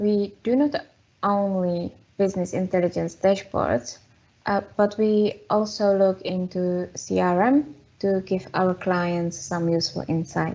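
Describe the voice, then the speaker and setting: A woman with a Czech accent, medium pitch, ordinary pitch variation and a fairly slow pace. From Czech Republic. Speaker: data consultant. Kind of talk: webinar presentation. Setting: online webinar.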